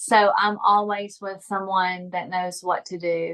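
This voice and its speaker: In a Southern US accent, a woman speaks at medium pitch with flat, monotone intonation. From US South. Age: 40s. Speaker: epilepsy patient and suicide attempt survivor. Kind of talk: interview. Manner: halting, some word-finding trouble.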